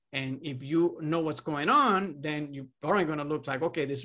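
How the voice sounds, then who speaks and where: On a very clean recording with a silent background, the voice sounds bright and sharp, with ordinary pitch variation. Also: man. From Puerto Rico. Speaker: radiology residency program director. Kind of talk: interview. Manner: halting.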